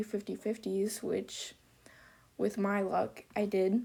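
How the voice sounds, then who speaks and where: Intonation flat and monotone, a woman speaks at a very slow pace. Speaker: gaming video creator. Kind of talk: gameplay commentary. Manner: halting, many fillers.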